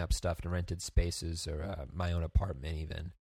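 A man speaks with an American accent. The recording is very clean with a silent background. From US Northeast, Bergen County, New Jersey. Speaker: colonial tour guide and actor learning programming. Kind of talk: casual interview chat. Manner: halting, many fillers.

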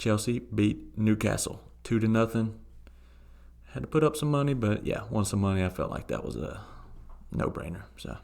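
A man's fairly low voice in a Southern US accent, with very wide pitch swings and long, frequent pauses. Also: moderate pace. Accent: Southern twang. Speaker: soccer podcast co-host. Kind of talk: casual chat.

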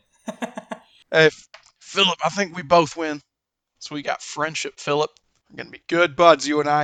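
Long, frequent pauses interrupt speech that otherwise keeps a moderate pace. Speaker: tabletop role-playing game player. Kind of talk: tabletop role-play session, casual.

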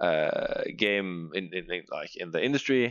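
A man is speaking. His accent is Norwegian. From Norway. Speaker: podcast co-host, teacher. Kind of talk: casual chat. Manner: halting.

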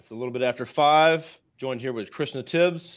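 A man talks at a fairly quick pace with ordinary pitch variation in an ordinary speaking voice. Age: 30s. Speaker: podcast host, marketing agency founder. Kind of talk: casual interview. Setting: live video stream.

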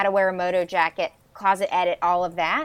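A woman of medium pitch talks at a moderate pace in an unremarkable speaking voice. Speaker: fashion consultant. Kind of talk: interview.

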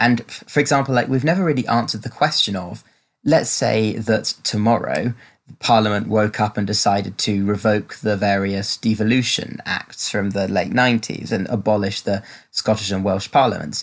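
At a moderate pace and fairly low pitch, a man talks in an ordinary speaking voice with ordinary pitch variation over a quiet background. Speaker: podcast guest. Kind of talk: panel discussion on politics.

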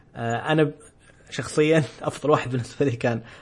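A somewhat breathy man at a moderate pace, with fairly even intonation. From Saudi Arabia, Eastern Province (Khobar). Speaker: podcast host. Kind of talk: casual chat.

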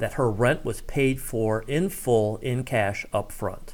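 A man with an American accent and a normal speaking voice at medium pitch, fairly slow pace, in a very clean recording with a silent background. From US Midwest, Ohio (Cincinnati and Columbus). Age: middle-aged. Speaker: former local radio host and town official. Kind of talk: casual interview.

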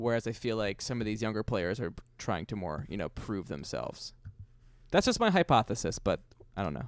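Speaking with an American accent at a fairly quick pace, a man has an unremarkable speaking voice and a fairly low pitch. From New York, Queens. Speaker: podcast co-host, baseball fan. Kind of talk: casual chat.

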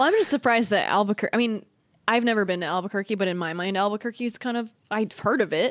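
With an American accent, a woman with a fairly high pitch talks at a very fast pace, using ordinary pitch variation. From Northern California. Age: 30s. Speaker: podcast co-host. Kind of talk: casual chat. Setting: remote recording, different states.

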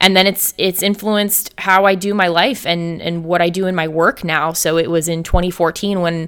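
At a moderate pace, a woman with an American accent speaks in a fairly low voice with monotone, flat intonation. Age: 30s. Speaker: motherhood lifestyle coach. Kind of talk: casual interview chat. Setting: remote call.

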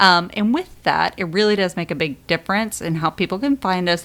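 Her pace fairly quick and her pitch variation ordinary, this woman has an unremarkable speaking voice. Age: 30s. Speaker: podcast co-host and mother. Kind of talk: casual chat.

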